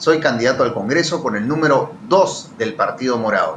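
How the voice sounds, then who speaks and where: A man talks at a moderate pace with lively intonation. Noticeable background noise and audible room echo surround his voice. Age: 30s. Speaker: politician, congressional candidate and lawyer. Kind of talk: political interview.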